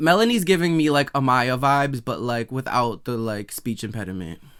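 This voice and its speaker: In a very clean recording with a silent background, a man with an American accent talks at a moderate pace and medium pitch, with ordinary pitch variation and an unremarkable speaking voice. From Massachusetts, US. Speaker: podcast host, actor. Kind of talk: casual reaction commentary.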